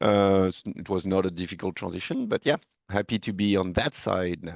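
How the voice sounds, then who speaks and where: Spoken at a moderate pace with a French accent and fairly even intonation, the recording has a dry, close sound with no echo and a quiet background. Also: man, very deep, low pitch for a man. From France. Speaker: technical product manager, network engineer. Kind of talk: tech podcast interview.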